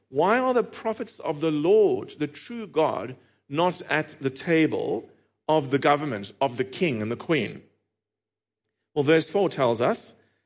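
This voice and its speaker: A man with a South African accent, fairly high-pitched, with very wide pitch swings, a fairly slow pace and long, frequent pauses. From Cape Town. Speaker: preacher. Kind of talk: sermon. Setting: church.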